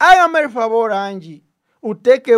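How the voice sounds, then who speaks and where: A man's voice with very wide pitch swings, in a very clean recording against a silent background. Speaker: political talk show host. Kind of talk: political talk show. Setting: studio.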